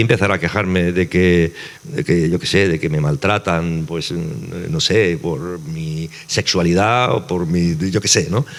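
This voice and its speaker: This man's voice is very deep and low, with ordinary pitch variation. He keeps a moderate pace over noticeable background noise. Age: 60s. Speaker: novelist. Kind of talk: panel conversation.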